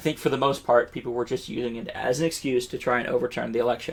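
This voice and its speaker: With fairly even intonation, a man's voice sits at a medium pitch. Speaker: educational video creator. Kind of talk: unscripted educational monologue. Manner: halting, many fillers and restarts.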